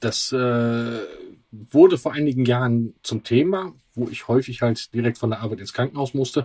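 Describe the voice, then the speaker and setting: The man's somewhat breathy voice has a dark, mellow tone, ordinary pitch variation and a moderate pace, with a dry, close sound and no echo. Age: 50s. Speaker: patient and father. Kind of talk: interview.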